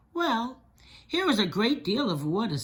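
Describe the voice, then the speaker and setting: A female-sounding put-on character voice, fairly high in pitch, moves at a moderate pace with very wide pitch swings. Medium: read story.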